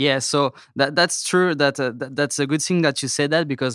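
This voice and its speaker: A man with a French accent and fairly high pitch, in dry, close sound with no echo. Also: very clean recording, silent background. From France. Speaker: toy company sales representative. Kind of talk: casual interview. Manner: hesitant, many fillers.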